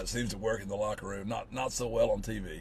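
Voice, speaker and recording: A man with a strong Southern US accent, talking at a fairly quick pace amid audible room echo. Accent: thick, syrupy Southern. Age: 50s. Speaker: college football coach. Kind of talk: casual interview.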